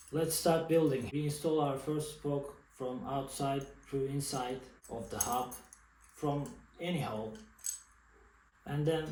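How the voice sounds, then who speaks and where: A man with a Turkish accent talks at a fairly high pitch with ordinary pitch variation, with audible room echo and noticeable background noise. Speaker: bike mechanic hobbyist YouTuber. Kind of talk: tutorial. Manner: halting.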